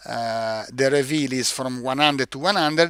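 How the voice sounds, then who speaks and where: In an Italian accent, a man speaks with a bright, sharp tone and ordinary pitch variation, in a dry, close sound with no echo. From Italy. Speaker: product manager presenting a product. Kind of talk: live-stream webinar tutorial. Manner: halting, many fillers and repeats.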